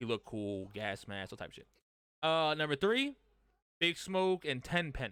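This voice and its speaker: An animated, bright, sharp tone moves through very wide pitch swings and big swings in loudness at a moderate pace. Long, frequent pauses break it up on a very clean recording with a silent background. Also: man, fairly high pitch for a man. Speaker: podcast host. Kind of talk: casual chat. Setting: live stream.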